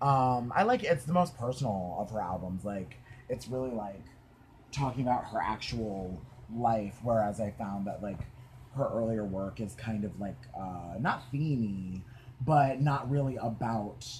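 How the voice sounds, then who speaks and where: The voice is somewhat breathy and moves at a fairly slow pace. Pitch varies in an ordinary way. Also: man, medium pitch for a man. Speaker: podcast host. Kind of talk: casual chat. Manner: animated.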